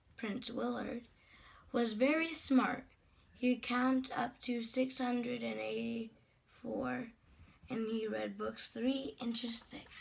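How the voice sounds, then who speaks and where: A woman puts on a raspy character voice pitched fairly high. She speaks at a fairly slow pace. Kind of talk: bedtime story. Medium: read story. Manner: warm, gently amused.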